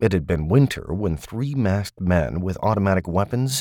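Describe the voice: What we hear is plain reading aloud.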